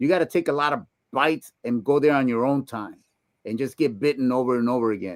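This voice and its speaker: Recorded with a dry, close sound and no echo, a man talks at a very fast pace. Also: medium pitch for a man, ordinary pitch variation. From Puebla, Mexico. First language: Spanish. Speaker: retired police detective. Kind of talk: casual interview.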